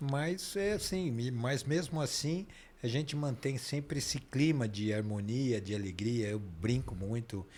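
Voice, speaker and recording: A man speaks at a fairly slow pace with lively intonation, medium pitch, and a plain, everyday voice. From Brazil, São Paulo. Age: 60s. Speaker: dentist and Freemasonry leader. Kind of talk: interview conversation. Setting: podcast studio, live stream.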